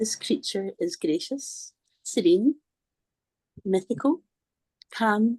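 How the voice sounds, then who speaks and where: A woman with a Scottish accent, fairly high-pitched with very wide pitch swings and a dark, mellow tone, at a very slow pace with long, frequent pauses, in a dry, close sound with no echo. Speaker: workshop participant. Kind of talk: reading aloud.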